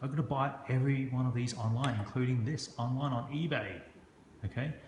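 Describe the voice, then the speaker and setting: Audible room echo hangs around a man's voice. He speaks at a medium pitch and sounds somewhat breathy. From Hong Kong. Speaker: construction business owner and knife reviewer. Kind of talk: product review video. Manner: casual, halting with frequent fillers.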